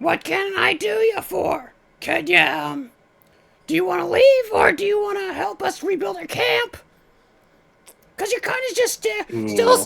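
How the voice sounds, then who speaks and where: A put-on character voice, raspy and extremely high-pitched, moves at a moderate pace with long, frequent pauses. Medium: actual play. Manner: excitable, scatterbrained.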